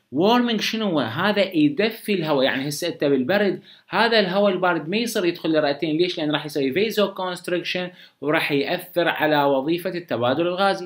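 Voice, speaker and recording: With an Iraqi accent, a high-pitched man speaks at a moderate pace with ordinary pitch variation against a quiet background. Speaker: medical lecturer. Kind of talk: lecture. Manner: casual, conversational.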